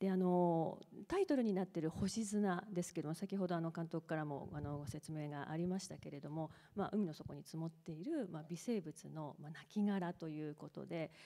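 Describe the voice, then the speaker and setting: Against a quiet background, a woman speaks in a dark, mellow tone at a fairly low pitch. Her pace is moderate, with ordinary pitch variation. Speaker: professor. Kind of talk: moderated onstage talk. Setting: stage with audience. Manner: formal. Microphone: handheld.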